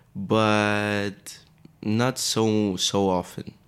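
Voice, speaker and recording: A man speaks in a fairly low, flat monotone with a Greek accent. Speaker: fashion model. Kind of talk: casual interview chat. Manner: halting, searching for words.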